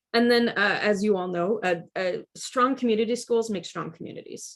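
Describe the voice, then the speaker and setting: A woman in a Midwestern American accent talks with ordinary pitch variation in a very clean recording with a silent background. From Kansas, Wichita. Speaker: education presenter. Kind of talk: lecture. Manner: fast.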